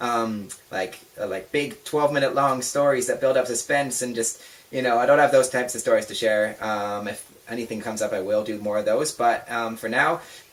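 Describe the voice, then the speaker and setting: A man's medium-pitched voice comes through with noticeable noise in the background. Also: ordinary pitch variation, fairly quick pace. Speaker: vlogger. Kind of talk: casual chat. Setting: home bedroom. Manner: fast; animated.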